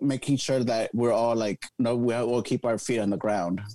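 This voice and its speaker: A man talks at a moderate pace, his dark, mellow tone showing ordinary pitch variation. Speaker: drag queen. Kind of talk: casual interview chat.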